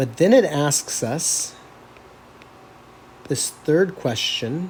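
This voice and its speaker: Here a man is speaking. His pace is very slow. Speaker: math teacher. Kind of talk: lecture. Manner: casual.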